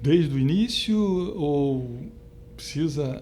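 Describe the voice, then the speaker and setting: A man with a Rio de Janeiro accent is heard with audible room echo and noticeable background noise. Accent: carioca. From Rio de Janeiro, Brazil (São Cristóvão). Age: 50s. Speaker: retired stock exchange trader. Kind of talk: oral history interview. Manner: halting, many fillers.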